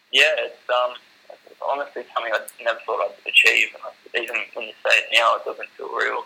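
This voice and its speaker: A man talks in an Australian accent. His loudness swings widely. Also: fairly quick pace. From Australia, Shoalhaven NSW. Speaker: para footballer. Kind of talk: interview.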